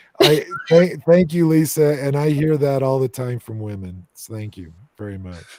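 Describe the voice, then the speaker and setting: This man talks in a normal speaking voice with an American accent, fairly high pitch, lively intonation and big swings in loudness. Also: moderate pace. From United States. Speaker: paranormal investigator. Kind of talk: casual chat. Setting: live stream video call.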